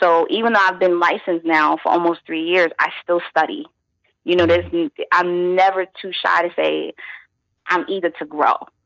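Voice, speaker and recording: Speaking at a moderate pace with a New York accent, a woman uses a fairly low pitch and fairly even intonation, recorded with a dry, close sound and no echo. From Brooklyn, New York (East New York). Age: 30s. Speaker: journalist and massage therapist. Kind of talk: interview. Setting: phone call.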